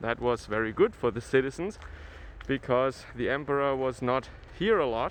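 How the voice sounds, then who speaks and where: A man speaks with a Franconian accent at a moderate pace. His medium pitch shows ordinary variation. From Germany, Franconia. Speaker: travel vlogger. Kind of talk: walking tour vlog. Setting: outdoors in a snowy town. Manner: hesitant, with fillers.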